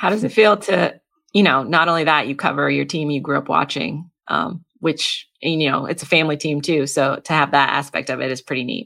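A woman talks at a fairly quick pace with hardly any pauses, her very deep, low pitch carrying lively intonation, a bright, sharp tone and vocal fry. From New England. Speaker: podcast host. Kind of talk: interview conversation.

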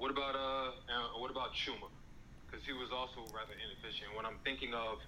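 A man rattles off his words very fast while noticeable background noise carries on behind him. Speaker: fan calling in. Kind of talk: casual chat. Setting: online audio room.

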